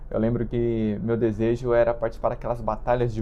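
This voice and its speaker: A man talks at a medium pitch. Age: 20s. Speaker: vlogger. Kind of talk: casual monologue. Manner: slow; halting.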